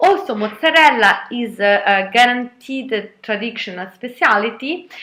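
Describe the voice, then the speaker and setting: In an Italian accent, a woman speaks at a very slow pace, her fairly high voice bright and sharp with lively intonation. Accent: Italian, non-native English. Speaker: vlogger. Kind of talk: casual vlog talk. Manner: halting, many fillers.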